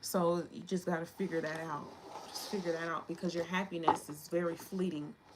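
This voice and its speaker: Fairly quick delivery in a monotone, flat intonation over noticeable background noise. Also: woman, fairly low pitch for a woman. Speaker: tarot reader. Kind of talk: tarot reading. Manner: fast; casual.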